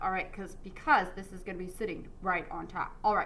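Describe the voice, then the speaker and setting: An upbeat tone amid audible room echo. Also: woman. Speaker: art teacher. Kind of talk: tutorial. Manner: casual, upbeat.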